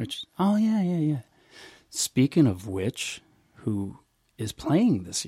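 Speaking at a very slow pace with long, frequent pauses, a man with an American accent and a fairly high pitch sounds somewhat breathy, with very wide pitch swings and big swings in loudness, all in a dry, close sound with no echo. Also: very clean recording, silent background. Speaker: podcast host and musician. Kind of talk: casual interview.

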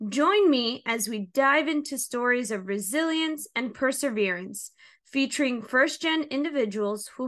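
A high-pitched woman with a New Jersey accent, bright and sharp in tone, with lively intonation and a fairly slow pace. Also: quiet background. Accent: New Jersey American. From New Jersey, Hudson County. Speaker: podcast host and social worker. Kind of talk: scripted monologue.

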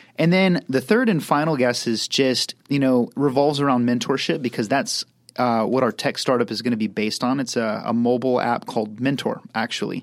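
A man with a normal speaking voice talks at a fairly quick pace with hardly any pauses, medium pitch and ordinary pitch variation. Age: 30s. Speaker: entrepreneur. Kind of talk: podcast interview.

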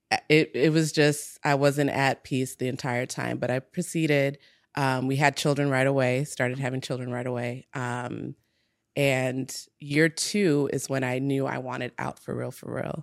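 A woman with an American accent speaks at a moderate pace with a very deep, low pitch and monotone, flat intonation on a very clean recording with a silent background. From US Midwest, Minnesota. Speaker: entrepreneur. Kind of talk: casual chat.

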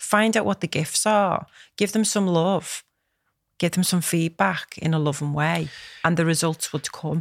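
With a Liverpool accent, the voice moves at a fairly slow pace with ordinary pitch variation and very even loudness, in a dry, close sound with no echo. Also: woman, fairly low pitch for a woman, very clean recording, silent background. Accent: Scouse (Liverpool). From Liverpool, England. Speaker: business and life coach, podcast co-host. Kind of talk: casual chat.

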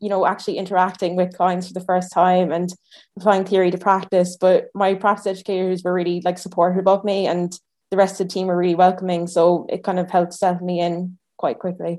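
In an Irish accent, a woman speaks at a fairly quick pace with a dark, mellow tone and monotone, flat intonation. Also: medium pitch for a woman, quiet background. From Ireland. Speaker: speech therapy student. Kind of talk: interview.

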